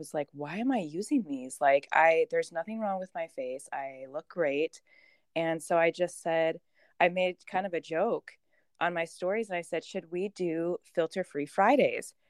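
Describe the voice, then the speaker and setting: A woman with an ordinary speaking voice, fairly low in pitch, at a moderate pace with ordinary pitch variation, in a dry, close sound with no echo. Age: 20s. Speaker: fitness competitor. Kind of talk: casual interview chat.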